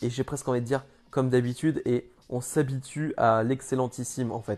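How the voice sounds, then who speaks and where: Music plays in the background. The speech comes at a fairly quick pace with monotone, flat intonation. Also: man. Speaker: wrestling commentator YouTuber. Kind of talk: casual video review. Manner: halting.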